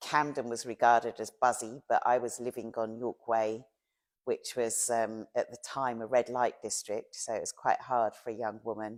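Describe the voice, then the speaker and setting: A woman with a London accent speaks at a moderate pace in a very deep, low pitch. Her intonation is monotone and flat, and the recording is very clean, with a silent background. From South London, England. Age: 60s. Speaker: long-time local resident. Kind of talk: oral history interview.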